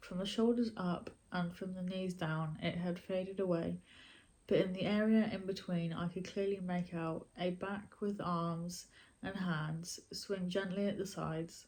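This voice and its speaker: Somewhat breathy and at a fairly slow pace, a woman with a British accent talks in a medium pitch with monotone, flat intonation. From Britain. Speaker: YouTuber and storyteller. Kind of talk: horror story reading.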